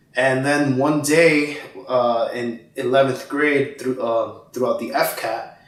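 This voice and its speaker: Speaking with a Miami accent at a very slow pace, a man of fairly high pitch keeps a fairly even intonation amid audible room echo and noticeable background noise. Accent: Miami American English. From Miami, Florida (born in Guatemala, moved at four). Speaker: pro gamer. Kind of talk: casual chat.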